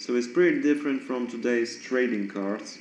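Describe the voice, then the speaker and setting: A non-native accent with ordinary pitch variation, audible room echo and noticeable background noise. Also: man. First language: not English. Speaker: card collector YouTuber. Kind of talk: casual show-and-tell monologue. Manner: halting, many fillers.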